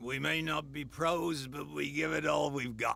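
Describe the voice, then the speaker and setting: A raspy, put-on character voice delivers lines at a moderate pace over light background noise. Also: man, fairly high pitch for a man. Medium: video game.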